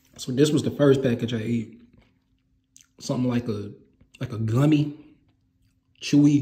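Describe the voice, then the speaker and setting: A man's voice carries a dark, mellow tone and is somewhat breathy. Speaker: food reviewer. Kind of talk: casual review vlog chat. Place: home room. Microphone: phone near.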